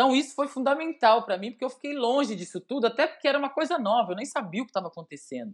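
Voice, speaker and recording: Lively intonation carries speech delivered very fast. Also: woman. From Brazil, Belo Horizonte (Minas Gerais). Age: 40s. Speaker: former volleyball player. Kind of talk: casual interview.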